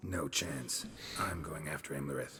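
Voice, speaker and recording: A put-on character voice from a man, raspy and very deep, at a moderate pace over clear background noise. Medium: game stream. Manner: terse, gruff.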